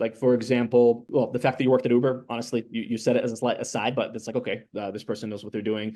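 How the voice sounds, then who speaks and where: At a very fast pace with hardly any pauses, a man talks in a medium-pitched, dark, mellow voice with monotone, flat intonation. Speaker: startup pitch coach. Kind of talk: pitch feedback. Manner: fast talker.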